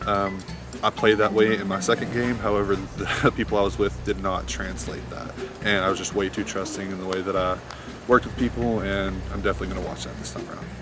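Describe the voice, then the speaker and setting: Talking very fast with a fairly low pitch and an American accent, a man swings widely in pitch and sharply in loudness over noticeable background noise. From Oklahoma. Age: 20s. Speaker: reality game show contestant. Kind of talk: confessional interview.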